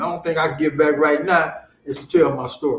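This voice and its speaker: A man speaks at a fairly quick pace. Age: 70s. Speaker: author. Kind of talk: interview. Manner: halting, many repetitions.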